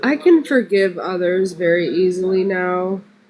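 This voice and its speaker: A woman's voice at medium pitch over noticeable background noise. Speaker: live stream guest. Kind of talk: testimony. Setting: live stream.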